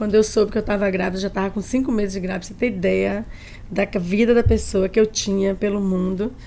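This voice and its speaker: A medium-pitched woman's voice, dark and mellow in tone, with monotone, flat intonation. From Bahia, Brazil (Tanquinho, countryside). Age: 60s. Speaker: chef. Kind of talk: podcast interview.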